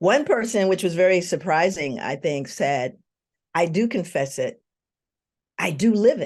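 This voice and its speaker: With very wide pitch swings and big swings in loudness, a woman at fairly low pitch speaks at a moderate pace, leaving long, frequent pauses. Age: 60s. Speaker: researcher and educator in social work. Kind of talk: interview. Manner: halting, with many fillers.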